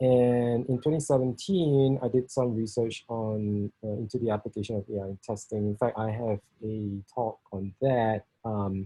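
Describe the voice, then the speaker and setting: A dark, mellow tone in a Singaporean accent. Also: man, medium pitch for a man. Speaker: software test engineering leader. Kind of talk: technical talk. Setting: video call. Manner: halting, many fillers.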